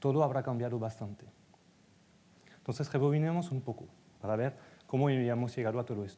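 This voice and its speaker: In a French accent, a man talks at a very fast pace with a dark, mellow tone, a medium pitch and ordinary pitch variation. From France. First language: French (speaking Spanish). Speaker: data executive and conference speaker. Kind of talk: conference talk.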